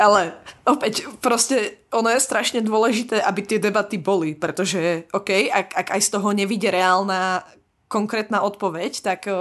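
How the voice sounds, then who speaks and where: Over a quiet background, a woman of medium pitch talks at a fairly slow pace with fairly even intonation and very even loudness. It is a plain, everyday voice. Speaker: PhD student in biotechnology. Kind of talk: casual chat.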